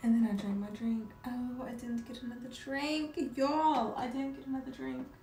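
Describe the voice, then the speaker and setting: The speech runs at a moderate pace with hardly any pauses and fairly even intonation, though loudness swings widely. Audible room echo and noticeable background noise fill the recording. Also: woman, high pitch for a woman. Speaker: live streamer. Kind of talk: casual chat. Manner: relaxed, soothing.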